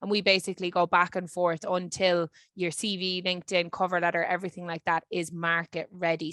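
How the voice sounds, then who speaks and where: Woman with a Dublin accent at a medium pitch, bright, sharp tone and fairly quick pace, in a dry, close sound with no echo. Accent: Irish (Dublin). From Ireland, Dublin. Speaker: career services lead. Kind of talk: webinar presentation.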